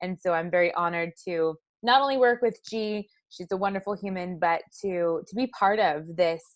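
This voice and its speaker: A woman with a Canadian accent speaks at medium pitch and a moderate pace. She has a normal speaking voice, with a quiet background. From British Columbia, Canada. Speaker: former elite marathon runner. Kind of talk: interview.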